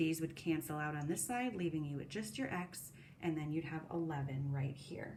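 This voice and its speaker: A woman speaks at a very deep, low pitch with ordinary pitch variation. Room echo is audible, and background noise is noticeable. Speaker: middle school math teacher. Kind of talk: recorded lesson. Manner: fast.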